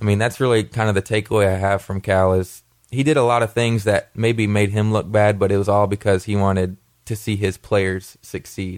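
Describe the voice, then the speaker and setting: In a Kentucky accent, a man speaks with flat, monotone intonation over a silent background in a very clean recording. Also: fairly low pitch for a man, fairly quick pace. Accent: Kentucky Southern American. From Kentucky (Wilmore, Jessamine County). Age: 20s. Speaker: former college basketball player. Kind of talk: radio interview.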